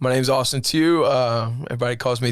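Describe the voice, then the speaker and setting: A man speaks with a Southern US accent at a medium pitch. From US South, Alabama (Eufaula). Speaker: worship leader. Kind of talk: casual interview.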